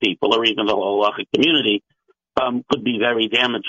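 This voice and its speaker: A man with an American accent speaks in a plain, everyday voice. His pitch is medium and his pace fairly quick. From US (Maine and Los Angeles). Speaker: rabbi and scholar. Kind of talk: radio panel discussion.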